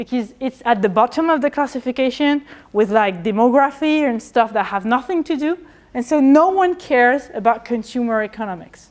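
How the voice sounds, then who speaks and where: A woman with a French accent, high in pitch, at a fairly quick pace with lively intonation. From France. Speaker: historian of economics; lecturer. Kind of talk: lecture. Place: classroom.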